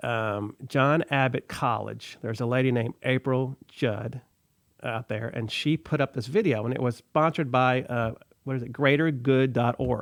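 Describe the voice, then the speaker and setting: A man with a Texan accent speaks at medium pitch and a moderate pace, with fairly even intonation. The recording is very clean with a silent background. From Texas. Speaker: community radio host. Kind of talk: casual radio talk. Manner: halting, many fillers.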